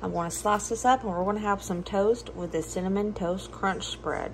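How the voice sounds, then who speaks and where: Moderate-paced speech in a Southern US accent. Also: woman. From US South. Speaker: cooking and budget vlogger. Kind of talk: casual cooking tutorial. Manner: chatty, animated.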